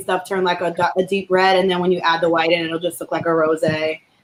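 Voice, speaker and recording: A woman with a New Jersey accent at a fairly quick pace. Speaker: comedy show co-host. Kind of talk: casual chat, drink-making demo.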